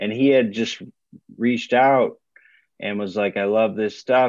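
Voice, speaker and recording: With a normal speaking voice, a man talks at a fairly low pitch and with fairly even intonation. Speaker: singer in a rock band. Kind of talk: casual interview chat.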